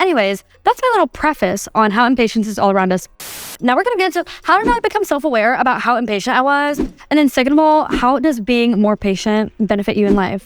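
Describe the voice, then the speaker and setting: Loud and animated, the voice races at a very fast pace with very wide pitch swings. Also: woman, high pitch for a woman. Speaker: podcast host. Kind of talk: casual solo podcast monologue.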